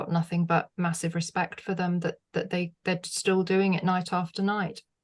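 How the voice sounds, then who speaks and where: In a British accent, a woman speaks at a medium pitch with flat, monotone intonation. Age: 60s. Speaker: former music TV presenter. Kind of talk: podcast interview. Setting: video call.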